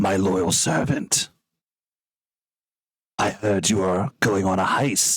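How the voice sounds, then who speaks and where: A man's put-on character voice, fairly low in pitch, very slow, with long, frequent pauses. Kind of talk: commanding, formal.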